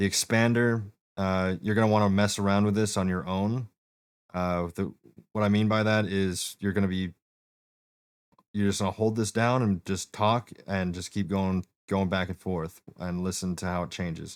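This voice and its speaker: The recording is very clean, with a silent background and a dry, close sound with no echo. A man speaks at a moderate pace in a fairly low pitch with fairly even intonation. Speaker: streamer giving setup advice. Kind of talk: tutorial. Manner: casual, halting.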